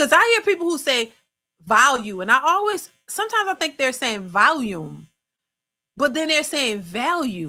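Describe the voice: Projecting her voice, a woman with a New Orleans accent speaks at a moderate pace in a high, bright, sharp tone with very wide pitch swings.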